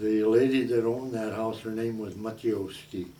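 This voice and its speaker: This man speaks in a Midwestern American accent at a medium pitch. His intonation is fairly even, and audible room echo surrounds him. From South Omaha, Nebraska. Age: 80s+. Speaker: retired baker. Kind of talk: oral history interview. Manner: halting.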